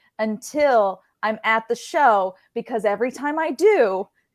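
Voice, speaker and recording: Fairly slow and lively in intonation, a woman's voice comes through. The recording is very clean, with a silent background. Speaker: ring announcer. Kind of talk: casual interview answer.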